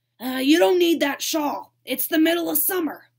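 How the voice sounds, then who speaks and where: A woman speaks at a moderate pace in a put-on character voice, pitched high. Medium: read story. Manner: weary, grumbling.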